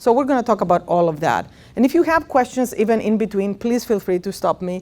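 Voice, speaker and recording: The voice has lively intonation and a Greek accent. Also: woman. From Greece. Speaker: professor of speech and swallowing research. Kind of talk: lecture. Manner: many fillers (uh, um).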